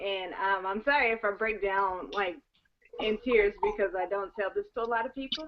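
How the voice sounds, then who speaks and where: A woman speaks in a fairly high voice with lively intonation. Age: 20s. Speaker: network marketing team member. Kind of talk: personal testimony. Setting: video call.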